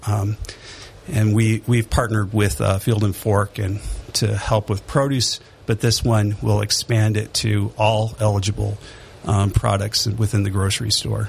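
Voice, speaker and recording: With an American accent, a man speaks fairly slowly in a flat monotone. His voice is fairly low, and its loudness stays very even. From Detroit, Michigan. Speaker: church council representative. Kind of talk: casual radio interview.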